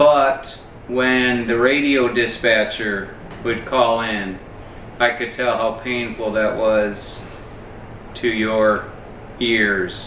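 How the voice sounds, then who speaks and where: A man at medium pitch, very slow with long, frequent pauses, in a monotone, flat intonation, amid noticeable background noise and audible room echo. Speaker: YouTube host, interviewer. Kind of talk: casual interview. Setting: in a kitchen at a home. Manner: loud and clear.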